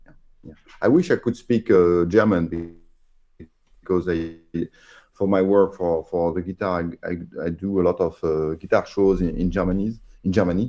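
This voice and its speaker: A man's very deep, low voice with a dark, mellow tone and a French accent, at a moderate pace with fairly even intonation and long, frequent pauses. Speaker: radio amateur. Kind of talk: casual chat.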